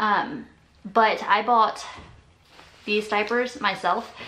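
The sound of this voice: Her voice sits at a medium pitch, bright and sharp in tone, with ordinary pitch variation. The woman talks at a slow pace, and room echo is audible.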